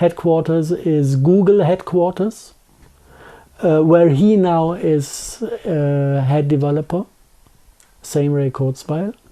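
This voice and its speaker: In a strong German accent, the speaker talks at a fairly slow pace. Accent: thick German. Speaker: conspiracy theory interviewee. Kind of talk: interview. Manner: halting.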